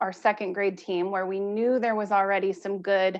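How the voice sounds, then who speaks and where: With an ordinary speaking voice, a woman talks at medium pitch with fairly even intonation. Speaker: school principal. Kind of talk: presentation at school board meeting.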